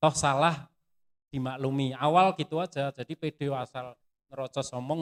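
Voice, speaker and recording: With monotone, flat intonation, a man speaks at a medium pitch in a dry, close sound with no echo. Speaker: footwear industry pattern engineer. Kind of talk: sharing session interview.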